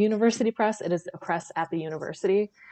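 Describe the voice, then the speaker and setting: With an Upper Midwestern accent, a woman speaks in fairly even intonation, her sound dry and close with no echo against a quiet background. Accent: Upper Midwestern American. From northeast Wisconsin. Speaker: podcast guest, publishing worker. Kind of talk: casual chat.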